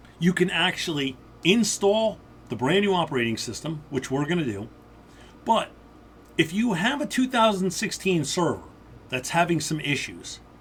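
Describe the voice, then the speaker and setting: Loud and high-pitched, a man with an American accent talks at a moderate pace. His pitch swings very widely, and he takes long, frequent pauses. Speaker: IT instructor. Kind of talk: tutorial.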